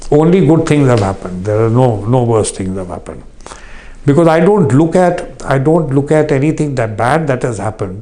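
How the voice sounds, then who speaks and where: Speaking at a fairly quick pace with an Indian accent, a man with a medium-pitched voice uses lively intonation over noticeable background noise. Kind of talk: interview. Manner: halting.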